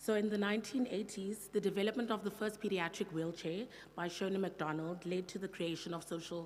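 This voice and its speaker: The voice has fairly even intonation and audible room echo. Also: woman. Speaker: occupational therapist presenting at conference. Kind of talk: conference presentation. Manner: fast.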